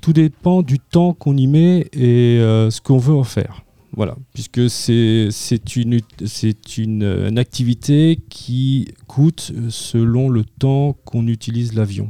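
A man's medium-pitched voice, dark and mellow in tone, at a very slow pace with ordinary pitch variation, recorded dry and close with no echo. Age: 50s. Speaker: amateur pilot, aero club board member. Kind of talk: radio interview.

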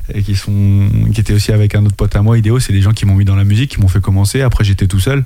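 Very fast speech comes from a man with a fairly low pitch and a dark, mellow tone. His intonation is monotone and flat, and his loudness stays very even. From France, Anjou. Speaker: rapper. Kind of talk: casual chat.

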